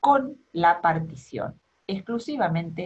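Somewhat breathy, a woman's voice moves through very wide pitch swings. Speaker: law lecturer. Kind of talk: lecture. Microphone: webcam.

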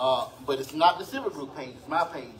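Over light background noise, a man with an eastern North Carolina accent speaks at a fairly quick pace and a fairly high pitch. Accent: Southern US (eastern North Carolina). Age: 60s. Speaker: community videographer. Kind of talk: casual remarks. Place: meeting room.

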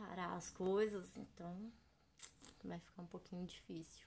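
Very slowly and somewhat breathily, a woman with a fairly low pitch speaks in monotone, flat intonation over light background noise. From São Paulo state, Brazil (São José dos Campos). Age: 30s. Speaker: vlogger and children's party clown. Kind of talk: casual vlog monologue. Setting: home recording in bedroom. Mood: reflective, gentle, a bit emotional. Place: home room. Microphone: webcam.

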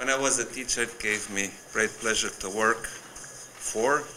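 Very slow male speech against light background noise. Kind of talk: formal speech. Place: hall. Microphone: podium.

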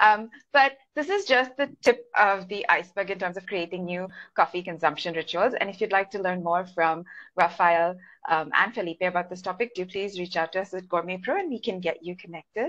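Against a quiet background, a woman talks at a fairly quick pace. Her pitch variation is ordinary. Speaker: webinar moderator, content manager; webinar moderator. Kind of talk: webinar hosting. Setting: video call. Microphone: video call.

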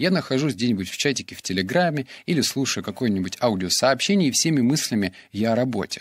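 In a dry, close sound with no echo on a very clean recording with a silent background, a man speaks at a medium pitch and a moderate pace with very wide pitch swings. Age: 20s. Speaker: podcaster and blogger. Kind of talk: solo podcast monologue.

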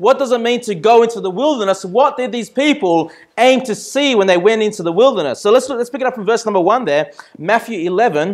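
A man speaks fairly quickly at a high pitch with ordinary pitch variation over a quiet background. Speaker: pastor. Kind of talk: sermon. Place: church.

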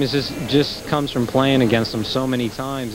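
Over noticeable background noise, a man talks at a fairly quick pace with ordinary pitch variation, the sound dry with no echo. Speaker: professional soccer player. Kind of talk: halftime interview. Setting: arena floor. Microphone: handheld.

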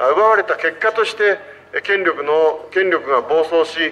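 With ordinary pitch variation, the man's voice sits at a high pitch. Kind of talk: street political speech. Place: street. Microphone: handheld.

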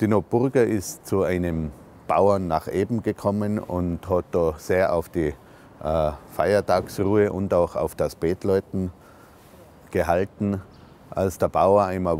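Over light background noise, a man with a very deep, low pitch and a dark, mellow tone speaks at a fairly slow pace with fairly even intonation and very even loudness, in a dry sound with no echo. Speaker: local guide or historian. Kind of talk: documentary explanation to camera. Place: street.

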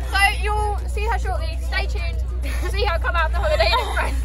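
Music plays behind a woman who talks at a fairly quick pace. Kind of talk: casual vlog chat. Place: bus. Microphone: phone near.

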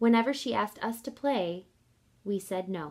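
A woman talks at a fairly slow pace. The background is quiet. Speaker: kindergarten teacher. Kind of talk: children's picture book read-aloud. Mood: gentle, expressive. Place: home room. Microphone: phone near.

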